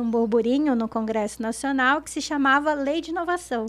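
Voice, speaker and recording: A woman speaks at a fairly quick pace in a high voice. Her pitch varies in an ordinary way. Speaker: innovation consultant. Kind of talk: podcast interview.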